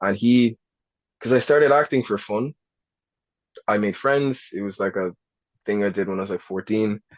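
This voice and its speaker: A man with an Irish accent speaks at a moderate pace and fairly low pitch, with ordinary pitch variation and long, frequent pauses. The sound is dry and close with no echo, over a quiet background. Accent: Irish accent that can sound American to some. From Ireland, Newbridge, County Kildare. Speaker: actor. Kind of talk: podcast interview. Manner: casual, hesitant fillers.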